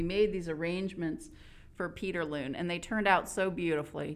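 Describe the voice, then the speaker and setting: A woman speaks in an ordinary speaking voice at a fairly quick pace, fairly low in pitch with ordinary pitch variation. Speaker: co-host, communications director. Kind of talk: podcast hosting, interviewer. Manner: warm, upbeat.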